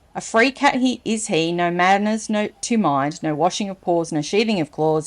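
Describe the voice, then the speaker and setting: Spoken at a moderate pace with an Australian accent, this voice has a playful tone and lively intonation. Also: woman. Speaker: storyteller, reader. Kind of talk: children's story reading with casual asides. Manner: chatty, playful.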